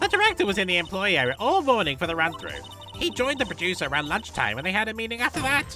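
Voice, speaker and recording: A put-on character voice races along at a very fast pace. Clear music plays in the background. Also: man, high pitch for a man. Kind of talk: comic overacting. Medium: game stream. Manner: chatty, scolding, self-righteous.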